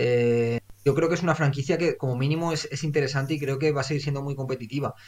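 A man's fairly high, somewhat breathy voice at a very fast pace, with fairly even intonation. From Valencia region, Spain. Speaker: football podcast host. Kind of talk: casual chat.

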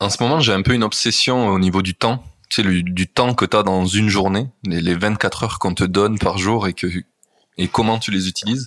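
A man speaks at a fairly quick pace with fairly low pitch. His intonation is fairly even, and the sound is dry and close with no echo. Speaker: podcast host. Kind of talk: casual interview chat. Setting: Airbnb room, remote recording.

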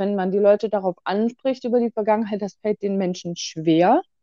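A normal speaking voice moves at a moderate pace. Its intonation stays fairly even. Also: woman. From Bremen, northern Germany. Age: 20s. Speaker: guest. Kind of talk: casual conversation.

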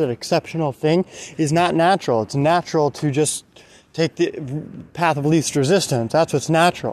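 The sound is dry and close with no echo as a man talks at a fairly high pitch with ordinary variation. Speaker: motivational podcaster. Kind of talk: motivational monologue. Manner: halting, many fillers.

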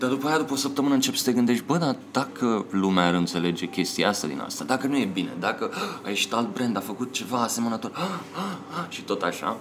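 The voice races at a very fast pace with very wide pitch swings over noticeable background noise. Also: man, medium pitch for a man. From Romania, Pitești. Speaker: advertising creative director. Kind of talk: casual interview chat.

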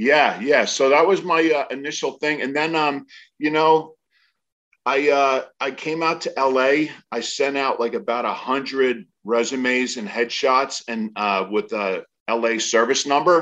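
A man with an American accent, fairly high in pitch, at a fairly slow pace with ordinary pitch variation, over a quiet background. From New Jersey. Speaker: actor and congressional candidate. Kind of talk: casual interview. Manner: halting, many fillers.

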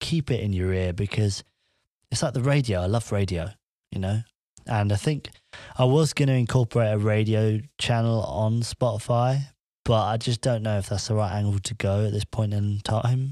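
A man with an English accent speaks in a fairly low, dark, mellow voice with ordinary pitch variation, in a very clean recording with a silent background. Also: moderate pace. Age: 20s. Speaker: podcaster and vlogger. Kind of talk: casual solo monologue. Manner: rambling, informal.

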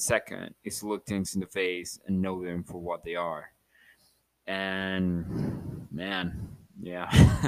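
Very deep and low, a man's voice moves at a very slow pace with fairly even intonation. His loudness swings widely. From Mexico, Chihuahua. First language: Spanish. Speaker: podcast host. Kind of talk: casual solo monologue. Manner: halting, repeats words.

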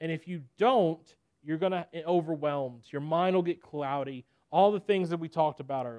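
A man speaks with a Southern US accent. His pitch varies in an ordinary way. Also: dry, close sound with no echo. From Nashville, Tennessee. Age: 20s. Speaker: preacher. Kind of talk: sermon.

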